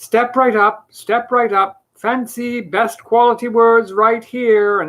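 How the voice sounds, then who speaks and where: Loud and fairly high-pitched, this put-on character voice moves at a fairly slow pace with a monotone, flat intonation. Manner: pitching, enthusiastic.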